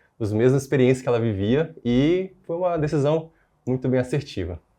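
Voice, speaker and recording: The background is quiet as a man speaks. His pace is moderate, with ordinary pitch variation. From northern Brazil, interior of Pará. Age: 20s. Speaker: newly qualified doctor. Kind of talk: interview. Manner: halting, with fillers.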